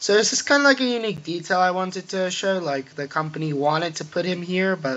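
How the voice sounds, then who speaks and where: Over noticeable background noise, a man mumbles at a very fast pace. His pitch is fairly high. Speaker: gamer showing a Minecraft build. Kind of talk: game tour walkthrough. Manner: mumbling; halting, filler-heavy.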